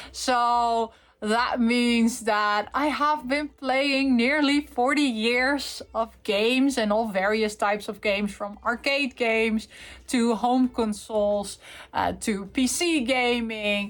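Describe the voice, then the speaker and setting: At a very slow pace, a woman speaks in a fairly high pitch. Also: fairly even intonation. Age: 40s. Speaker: gaming YouTuber. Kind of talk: casual unboxing and review chat. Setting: filming from bed. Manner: hesitant, many fillers.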